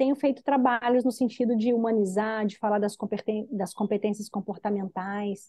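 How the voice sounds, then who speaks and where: A woman's fairly high voice with a Minas Gerais accent and fairly even intonation. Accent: drawling Minas Gerais. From Minas Gerais / interior of Rio de Janeiro state, Brazil. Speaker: executive development consultant. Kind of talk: interview.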